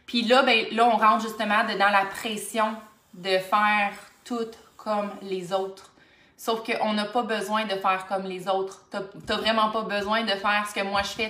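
A woman's medium-pitched voice with a Quebec accent, flat and monotone, over noticeable background noise and audible room echo. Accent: Québécois French. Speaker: life coach. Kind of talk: solo motivational podcast monologue. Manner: fast.

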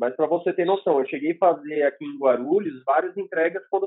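Ordinary pitch variation in a fairly high male voice. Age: 30s. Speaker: motorcycle delivery courier. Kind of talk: interview testimony. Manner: halting, many repetitions.

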